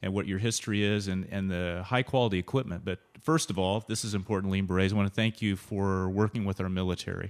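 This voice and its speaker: A man's fairly low voice at a very fast pace. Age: 50s. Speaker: podcast host and wellness coach. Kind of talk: casual interview.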